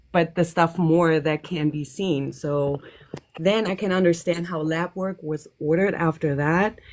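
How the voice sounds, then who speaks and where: A woman's fairly low voice with a non-native accent, fairly even intonation and a fairly slow pace. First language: not English. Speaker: caller. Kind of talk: casual chat. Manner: hesitant.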